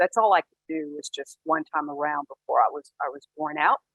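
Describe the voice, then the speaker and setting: With music in the background, a woman talks at a moderate pace, using ordinary pitch variation. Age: 60s. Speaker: senior fitness athlete. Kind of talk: talk to online audience.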